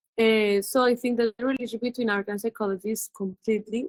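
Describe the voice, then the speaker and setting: In a Colombian accent, a woman speaks at a fairly high pitch and a fairly quick pace. Her intonation stays fairly even, and the sound is dry and close with no echo. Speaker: visual artist. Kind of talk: interview. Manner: halting.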